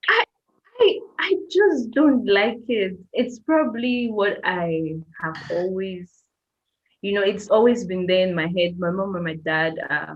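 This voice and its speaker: A woman with an ordinary speaking voice, medium in pitch, lively in intonation, at a fairly slow pace. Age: 30s. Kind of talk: casual chat.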